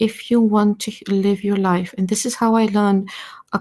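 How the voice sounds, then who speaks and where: This woman's medium-pitched voice is dark, mellow and somewhat breathy. She talks at a moderate pace with monotone, flat intonation. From Balkans, just north of Greece, Greek family. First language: not English (English is second language). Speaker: artist and creativity researcher, panel guest. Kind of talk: live audio-space panel discussion. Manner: hesitant, searching for words.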